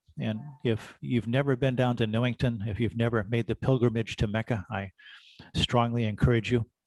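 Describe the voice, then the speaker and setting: Recorded with a dry, close sound and no echo, a man speaks at medium pitch and a moderate pace with fairly even intonation. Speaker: amateur radio organization official. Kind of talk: presentation. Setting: video call. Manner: loud.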